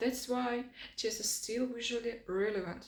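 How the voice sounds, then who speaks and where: In a room with audible echo, a woman with a non-native accent speaks at a fairly high pitch. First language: not English. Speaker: designer and design video creator. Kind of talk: scripted lecture. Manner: non-native, slightly halting.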